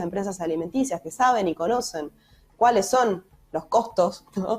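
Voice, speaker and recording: Her pace is moderate and her pitch medium. This woman's intonation is lively. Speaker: economist. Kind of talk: interview. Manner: hesitant fillers.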